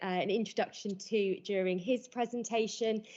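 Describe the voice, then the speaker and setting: In a strong British accent, a woman talks with a fairly high pitch. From Britain. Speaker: conference speaker, zoo welfare coordinator. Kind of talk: conference presentation. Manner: fast.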